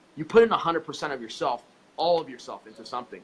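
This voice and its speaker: A man with an American accent talks as noticeable noise carries on behind him. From Southern California (Los Angeles area). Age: 20s. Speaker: congressional candidate. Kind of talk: interview, campaign pitch. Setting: live-streamed interview. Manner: emphatic, repetitive.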